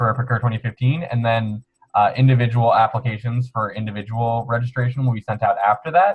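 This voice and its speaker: A man speaks at a fairly quick pace in a medium pitch. His voice is somewhat breathy. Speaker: student organization officer. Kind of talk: webinar Q&A explanation. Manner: fast; casual, upbeat.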